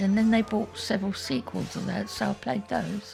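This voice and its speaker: With music in the background, a woman talks with an English accent. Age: 80s+. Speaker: retired gamer. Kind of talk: documentary interview answer.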